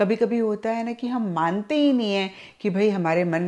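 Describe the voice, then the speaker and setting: Woman with an ordinary speaking voice, ordinary pitch variation and a fairly slow pace against a quiet background. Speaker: tarot reader. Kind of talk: tarot reading talk to viewers. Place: home room.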